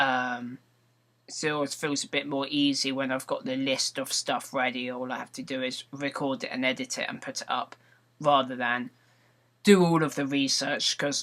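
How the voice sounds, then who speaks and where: In a British accent, a bright, sharp voice speaks at a moderate pace with fairly even intonation on a very clean recording with a silent background. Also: man, fairly high pitch for a man. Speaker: vlogger and gaming video maker. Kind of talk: casual vlog monologue. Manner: slightly slurred words; rambling with frequent ums and repetitions.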